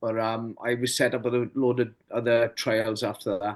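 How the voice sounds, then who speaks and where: Against a quiet background, a man speaks at a moderate pace with a medium-pitched voice. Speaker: former Royal Marine and veteran footballer. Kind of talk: interview answer.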